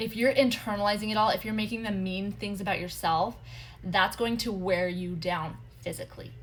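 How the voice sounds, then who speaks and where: Vocal fry runs through speech delivered at a fairly quick pace with ordinary pitch variation. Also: woman, medium pitch for a woman. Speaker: human design coach. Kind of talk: live stream teaching. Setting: social media livestream. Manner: fast; animated.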